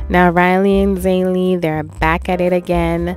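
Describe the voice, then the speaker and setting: A woman's voice, dry with no echo, with faint music in the background. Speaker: family vlogger. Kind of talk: casual vlog chat. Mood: proud, warm. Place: home room. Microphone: phone near.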